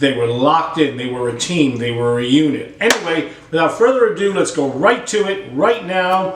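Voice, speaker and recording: The speaker uses lively intonation at a moderate pace. Music plays in the background, and room echo is audible. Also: man. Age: 60s. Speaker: drum teacher. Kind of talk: tutorial. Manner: animated.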